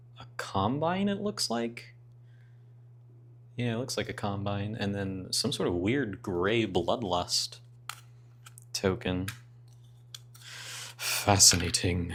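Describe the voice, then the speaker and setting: A man's fairly low voice at a very slow pace, broken by long, frequent pauses. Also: ordinary pitch variation. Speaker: board game YouTuber. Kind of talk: casual unboxing commentary.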